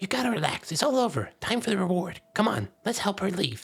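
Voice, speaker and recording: The speaker puts on a character voice at a middle pitch. The delivery runs at a fairly quick pace. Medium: solo performance. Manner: chummy, then sneering.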